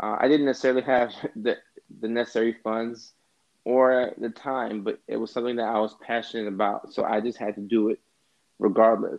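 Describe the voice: A man with a fairly low pitch and a slightly mellow tone talks at a fairly quick pace, his pitch moving little.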